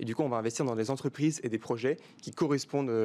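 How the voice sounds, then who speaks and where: A man with a plain, everyday voice talks at a fairly quick pace, medium pitch and ordinary pitch variation. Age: 20s. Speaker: start-up CEO. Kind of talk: interview.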